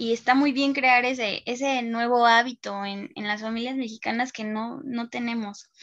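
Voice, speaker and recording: Her loudness swinging widely, a woman speaks at a moderate pace with hardly any pauses in a high pitch and monotone, flat intonation. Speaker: university student. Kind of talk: casual chat.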